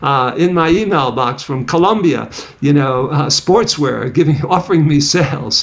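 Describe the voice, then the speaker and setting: A man speaks at a fairly high pitch with ordinary pitch variation. Noticeable background noise runs underneath. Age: 70s. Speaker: psychology professor. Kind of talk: podcast interview.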